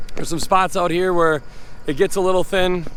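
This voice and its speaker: A man with an American accent speaks in a high pitch, his pitch varying in an ordinary way. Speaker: hay farmer. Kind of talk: casual field talk to camera. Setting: outdoors in a hay field. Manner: fast at times; rambling, repetitive, hesitant restarts.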